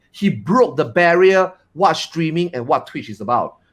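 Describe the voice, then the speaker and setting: This is a man. His pitch is high. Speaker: streamer. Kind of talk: casual panel chat. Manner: loud; expressive.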